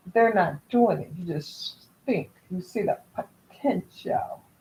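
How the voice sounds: A woman's voice with lively intonation and a slightly husky edge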